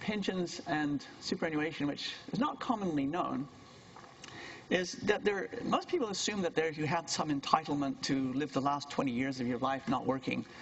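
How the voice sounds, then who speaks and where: A man's fairly high voice with very wide pitch swings, at a moderate pace, over noticeable background noise. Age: 60s. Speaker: university lecturer. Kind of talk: lecture.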